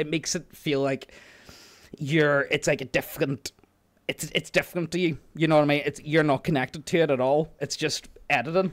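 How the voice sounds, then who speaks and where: In a strong Northern Irish accent, a man talks at a fairly quick pace with a fairly high pitch. His intonation is monotone and flat, and the sound is dry and close with no echo. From Northern Ireland. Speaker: youtube narrator. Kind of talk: casual chat.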